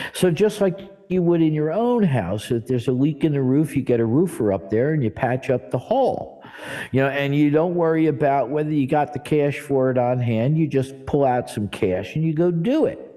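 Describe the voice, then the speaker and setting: A plain, everyday voice with lively intonation at a moderate pace. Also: man, fairly high pitch for a man. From New Jersey, US. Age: 60s. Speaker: church director and spiritual teacher. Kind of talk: interview conversation. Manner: casual, conversational with fillers.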